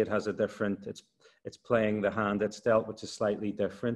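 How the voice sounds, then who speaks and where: A man with an Irish accent, fairly low pitch and monotone, flat intonation, over a quiet background. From Ireland. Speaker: university lecturer on energy transition. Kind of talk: expert explanation. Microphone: video call.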